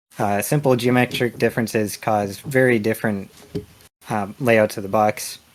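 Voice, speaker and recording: This man has a normal speaking voice at medium pitch. He keeps a moderate pace with fairly even intonation. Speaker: indie game developer. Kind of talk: conference lightning talk.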